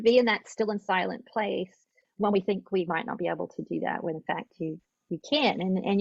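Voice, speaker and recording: A woman with an American accent speaks fairly quickly at a medium pitch, with vocal fry and ordinary pitch variation. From Australia. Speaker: yoga therapist. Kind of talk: interview.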